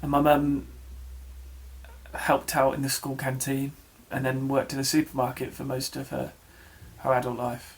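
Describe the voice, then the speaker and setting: In an English accent, a man of medium pitch speaks at a moderate pace in a monotone, flat intonation, with long, frequent pauses. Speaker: vlogger. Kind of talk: personal vlog. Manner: halting.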